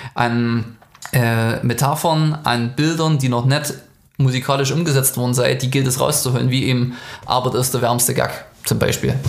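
The man's fairly even intonation comes through audible room echo and noticeable background noise. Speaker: musician. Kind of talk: interview.

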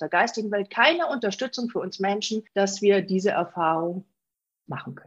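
Speaking at a moderate pace, a woman has a medium pitch and an ordinary speaking voice. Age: 40s. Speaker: spiritual medium. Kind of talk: interview.

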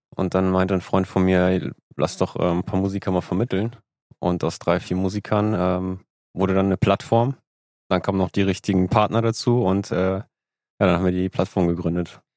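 With a very deep, low pitch, a man speaks in a monotone with flat intonation, the recording very clean with a silent background and the sound dry and close with no echo. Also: moderate pace. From northern Germany, Lübeck. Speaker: music booking agency owner and musician. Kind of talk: casual interview chat.

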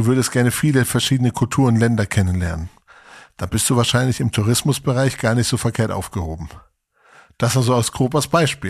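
A man talks at a medium pitch with lively intonation. His voice is somewhat breathy. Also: very clean recording, silent background. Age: 40s. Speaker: podcast host. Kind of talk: casual chat.

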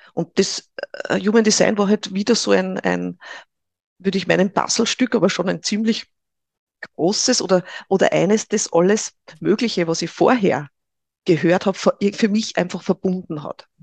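With a dry, close sound and no echo, a woman at medium pitch talks at a moderate pace with ordinary pitch variation, long, frequent pauses and vocal fry. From Upper Austria (Linz). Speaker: Human Design trainer. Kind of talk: interview.

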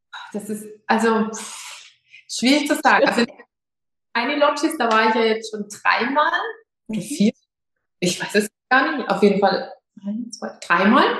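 A woman speaks with a fairly high pitch and ordinary pitch variation. Her loudness swings widely, and she leaves long, frequent pauses. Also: moderate pace. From Lower Franconia, Germany (Schweinfurt). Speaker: yoga teacher. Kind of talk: interview.

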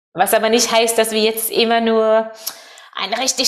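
A woman speaks with a Norwegian accent. Her pitch is fairly high and her pace moderate. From Norway. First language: Norwegian (speaking German). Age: 30s. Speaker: world traveler and event organizer. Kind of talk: interview. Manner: halting, searching for German words.

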